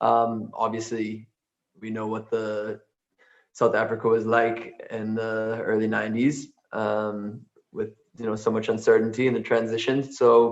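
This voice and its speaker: A man speaks in an American accent at medium pitch, his intonation monotone and flat. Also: fairly slow pace. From United States. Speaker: musician. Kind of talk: interview on a video call. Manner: halting, many fillers.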